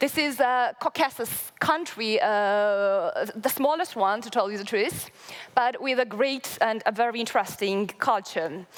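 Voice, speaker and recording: A woman talks fairly slowly with a Georgian accent and lively intonation. Noticeable background noise runs behind her. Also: fairly high pitch for a woman. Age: 20s. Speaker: local development association member. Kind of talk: conference presentation. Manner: halting, many fillers.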